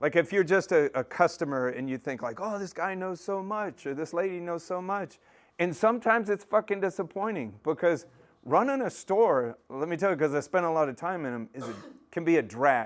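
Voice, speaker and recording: A man with an American accent speaks loudly and at a fairly quick pace against a quiet background. His high-pitched voice has an animated tone and lively intonation. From Texas, north of Dallas. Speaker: aquarium maintenance business owner. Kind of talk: casual presentation.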